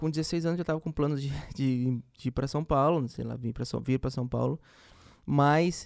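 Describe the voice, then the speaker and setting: In a dry, close recording with no echo, a man talks at a fairly high pitch with fairly even intonation in an ordinary speaking voice. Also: moderate pace. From Campo Grande, Mato Grosso do Sul, Brazil. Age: young. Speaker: music producer. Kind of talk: interview.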